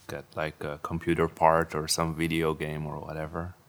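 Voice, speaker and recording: A man speaks with a Dutch accent. His pitch is very deep and low. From Netherlands. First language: Dutch (speaking Chinese). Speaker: Dutch husband living in Taiwan. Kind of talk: casual chat. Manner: halting.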